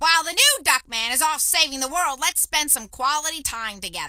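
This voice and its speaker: Quick-ish in pace, a put-on character voice is pitched high. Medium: video game. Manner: prim, fussy.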